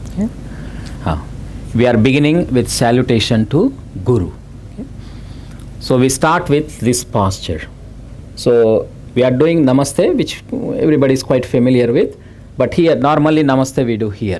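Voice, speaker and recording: A man with an American accent at a moderate pace, with long, frequent pauses. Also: medium pitch for a man, lively intonation. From India. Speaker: yoga teacher. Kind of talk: yoga class instruction. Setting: festival class with live group. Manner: hesitant, many fillers (uh, okay).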